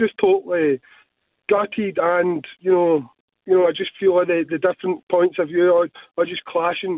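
In a Scottish accent, a man speaks at a moderate pace with a high pitch and fairly even intonation. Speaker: football fan caller. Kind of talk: radio phone-in call. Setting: phone call.

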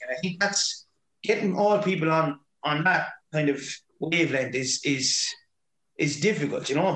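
A man with a Waterford accent, fairly high pitch and ordinary pitch variation, at a moderate pace. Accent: Waterford Irish. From Ireland, Waterford. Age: 40s. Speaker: hurling manager and teacher. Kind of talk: casual interview chat.

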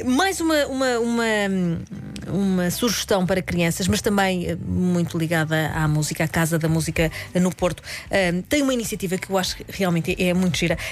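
Moderate pace, ordinary pitch variation, and noticeable background noise. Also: woman, medium pitch for a woman. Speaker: radio cultural events contributor. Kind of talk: radio chat with event recommendations.

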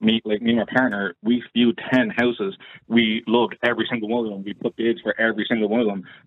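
At a very fast pace, a man with an Irish accent speaks at a medium pitch. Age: 30s. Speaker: caller. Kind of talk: phone-in discussion. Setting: phone call.

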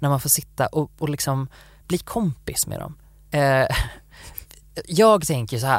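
Recorded with perfect clarity against a silent background, the talking proceeds at a middling speed. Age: 20s. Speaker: podcast co-host. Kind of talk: casual chat.

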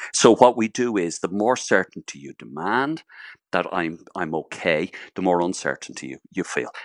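A man with an Irish accent, very deep and low in pitch, with vocal fry, lively intonation and big swings in loudness, in a dry, close recording with no echo and a quiet background. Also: moderate pace. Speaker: psychotherapist. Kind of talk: radio interview.

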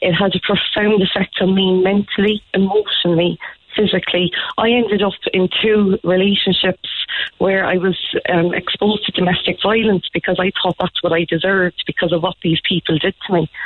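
A woman speaks at a fairly quick pace in an Irish accent. Her intonation is monotone and flat. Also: medium pitch for a woman, very even loudness. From Ireland, small town. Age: 30s. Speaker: teacher. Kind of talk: phone-in testimony. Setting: phone call.

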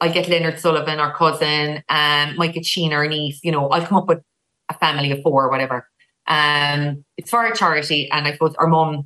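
Speaking with a Cork accent, a woman has a very deep, low pitch, a bright, sharp tone and a fairly quick pace. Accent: Irish, Cork. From Ireland, Cork. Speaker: sister of an actress. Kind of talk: casual chat.

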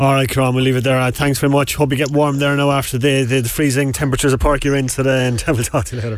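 Noticeable background noise sits under a man speaking very fast with a Cork accent. His intonation is monotone and flat. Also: medium pitch for a man, hardly any pauses. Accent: Cork Irish. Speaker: sports radio host. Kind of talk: radio sports show. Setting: studio.

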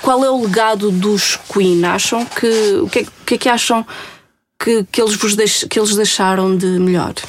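A woman with a fairly high pitch uses a normal speaking voice. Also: fairly even intonation, moderate pace. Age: 40s. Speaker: radio host. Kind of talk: casual interview.

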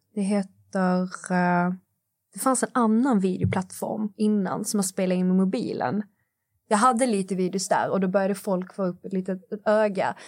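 With long, frequent pauses, a woman speaks at medium pitch and a moderate pace, keeping her intonation fairly even. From southern Sweden, Skåne. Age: 20s. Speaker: influencer. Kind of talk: casual interview chat. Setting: studio.

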